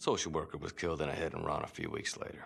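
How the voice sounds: This man puts on a character voice with extremely low pitch, vocal fry and a fairly bright tone. He talks fast, his pitch swinging widely.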